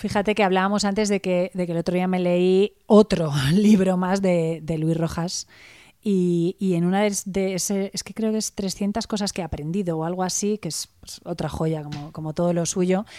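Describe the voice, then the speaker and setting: A woman's ordinary speaking voice at medium pitch, dry and close with no echo, on a very clean recording with a silent background. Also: fairly even intonation, moderate pace. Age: 40s. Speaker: blogger, author and coach. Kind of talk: interview.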